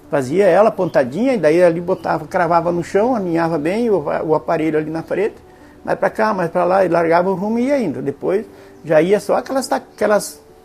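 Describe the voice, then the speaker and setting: With music in the background, a man speaks at a high pitch with lively intonation. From western Paraná, Brazil. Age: 60s. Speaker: local elder interviewee. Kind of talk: oral history testimony. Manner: halting, with many fillers.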